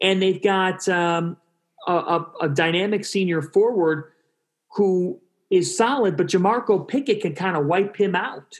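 With ordinary pitch variation, this man talks in a high voice. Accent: American. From Cleveland, Ohio. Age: 20s. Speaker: sports broadcaster. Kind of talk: casual interview.

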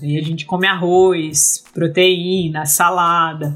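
A woman's ordinary speaking voice, fairly low in pitch with ordinary pitch variation. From Brazil, Rio Grande do Norte, small inland town. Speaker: engineer and PhD student. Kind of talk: casual interview chat.

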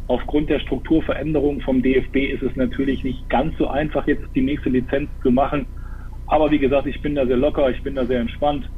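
Noticeable background noise and audible room echo surround a man's voice. His pitch is fairly high and his intonation monotone and flat. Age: 30s. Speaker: football player and assistant coach. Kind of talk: casual live talk interview. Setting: live stream.

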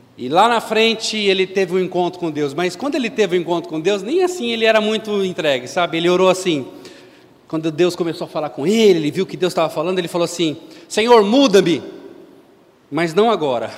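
Against noticeable background noise, a man with a high pitch speaks very fast in an animated tone with ordinary pitch variation. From Brazil, São Paulo. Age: 50s. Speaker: lay preacher. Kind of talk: sermon.

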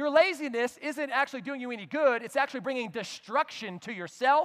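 The tone is animated. The pace is very fast. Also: man. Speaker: pastor. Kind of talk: sermon; pep talk. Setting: church with live audience. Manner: loud; animated, punchy, shouting and teasing the congregation.

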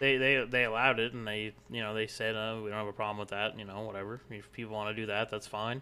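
In a Canadian accent, the speaker talks at a fairly quick pace with a bright, sharp tone. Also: man, very clean recording, silent background. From Canada. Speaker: gaming streamer and podcast co-host. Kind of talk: casual chat.

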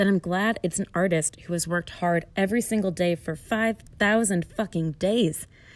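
A woman's medium-pitched voice with ordinary pitch variation at a fairly quick pace, on a very clean recording with a silent background. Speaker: podcast host. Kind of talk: guided meditation and casual monologue. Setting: indoors in a closet or interior room.

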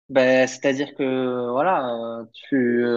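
A man talks with a slight southern French accent. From southern France, Perpignan. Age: 30s. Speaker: primary school teacher. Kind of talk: casual interview.

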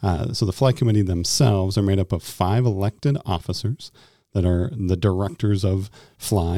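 Recorded very cleanly against a silent background, with a dry, close sound and no echo, a man speaks at a fairly quick pace with a fairly low pitch, a dark, mellow tone and ordinary pitch variation. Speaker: youth ministry director. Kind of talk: casual chat.

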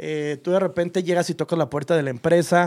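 In a very clean recording with a silent background, a man talks at a fairly quick pace and a high pitch. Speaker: podcast host. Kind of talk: casual chat.

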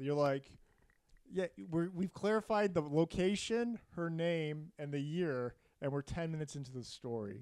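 A man with a plain, everyday voice and a fairly high pitch talks at a moderate pace with lively intonation. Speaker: podcast host telling a murder story. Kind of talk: casual comedic storytelling chat. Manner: joking, playful.

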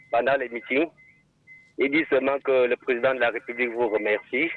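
A man speaks at a moderate pace. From Cameroon, Haute-Sanaga. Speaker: caller. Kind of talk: call-in testimony. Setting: phone call.

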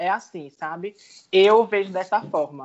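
This is an unremarkable speaking voice, moving at a fairly slow pace with ordinary pitch variation. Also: woman. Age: 30s. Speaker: journalism student, former salon worker. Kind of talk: panel discussion.

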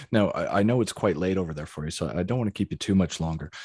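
Talking at a very fast pace in a western Canadian accent, a man is heard with a dry, close sound with no echo against a quiet background. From Calgary, Canada. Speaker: podcast host. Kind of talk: interview. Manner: halting.

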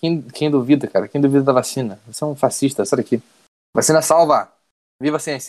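Here is a normal speaking voice at a fairly quick pace with fairly even intonation. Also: man, fairly high pitch for a man. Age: 20s. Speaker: podcast co-host. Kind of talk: casual chat.

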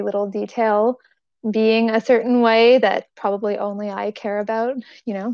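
A woman speaks in a medium pitch at a moderate pace. Her intonation is flat and monotone. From Toronto, Canada. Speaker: food allergy advocate and cookbook author. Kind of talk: casual interview chat.

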